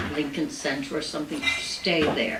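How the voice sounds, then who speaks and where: A woman is speaking in a space with audible room echo. Noticeable background noise can be heard as well. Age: 90s. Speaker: Broadway performer and cabaret singer. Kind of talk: stage patter between songs. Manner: halting.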